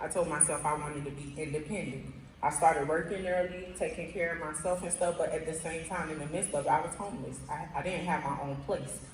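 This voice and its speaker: A woman's fairly low voice with an American accent, fairly even intonation, audible room echo and noticeable background noise. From Miami, Florida. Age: 20s. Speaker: program participant, mother. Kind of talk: testimony. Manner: halting, with many fillers.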